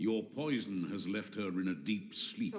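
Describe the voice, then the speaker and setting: A man uses a put-on character voice with a fairly low pitch and ordinary pitch variation. He keeps a moderate pace over light background noise. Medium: video game. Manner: cold, commanding.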